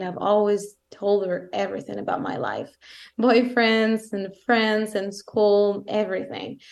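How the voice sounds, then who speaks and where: In an Italian accent, a woman of medium pitch speaks at a moderate pace with a monotone, flat intonation. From southern Italy. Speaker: co-host. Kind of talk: casual chat.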